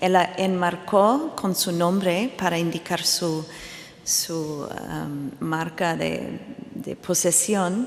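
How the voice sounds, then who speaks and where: A woman at medium pitch, very slow, with ordinary pitch variation, audible room echo and noticeable background noise. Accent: English. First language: English (speaking Spanish). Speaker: art historian. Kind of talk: conference talk. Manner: halting.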